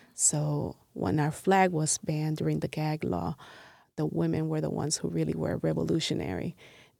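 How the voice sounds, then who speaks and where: A woman with a Spanish accent at a moderate pace, dry and close with no echo, on a very clean recording with a silent background. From Puerto Rico, Ponce, moved to Milwaukee at 13. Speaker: artist and community member. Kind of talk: interview.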